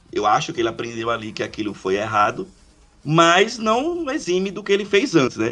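This man's voice sits high in pitch and swings very widely up and down. His tone is bright and sharp. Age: 40s. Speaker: podcast co-host. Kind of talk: casual chat.

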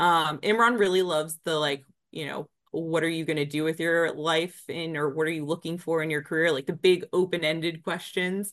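With an American accent, a woman speaks in an unremarkable speaking voice, fairly low in pitch, at a moderate pace and with fairly even intonation. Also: quiet background. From Northern Virginia, US. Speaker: business development director. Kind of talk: interview.

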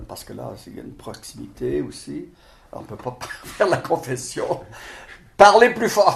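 A man talks fairly slowly. The room around him gives an audible echo. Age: 70s. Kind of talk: interview. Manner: halting.

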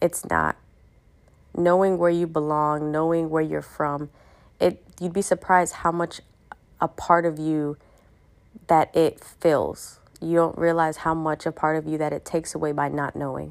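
A woman's very deep, low voice with an American accent, monotone and flat, at a moderate pace with long, frequent pauses. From US, raised in an Ethiopian household. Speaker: podcast host. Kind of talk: solo monologue podcast.

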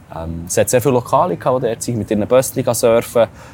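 A man speaks at a fairly quick pace with a Swiss accent. His tone is dark and mellow. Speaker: travel podcast host. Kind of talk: casual chat.

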